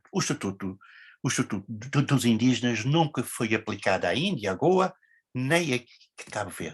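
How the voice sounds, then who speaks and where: Somewhat breathy, a man's medium-pitched voice moves in very wide pitch swings. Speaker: academic researcher. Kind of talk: conference talk. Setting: academic conference. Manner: halting.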